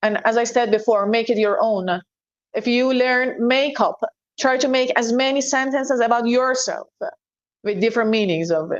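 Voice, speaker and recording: The speaker has a Persian accent, and the background is quiet. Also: woman. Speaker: English teacher. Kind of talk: interview.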